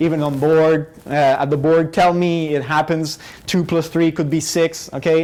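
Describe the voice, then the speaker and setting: The pace is moderate. The speaker has a non-native accent. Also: man. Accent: non-native English, noticeable. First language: not English. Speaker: professor. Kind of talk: lecture. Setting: classroom, recorded on camera. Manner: hesitant, many fillers.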